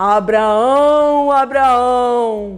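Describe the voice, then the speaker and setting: Using a put-on character voice at an extremely high pitch, a man speaks as faint music plays in the background. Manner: calling out solemnly.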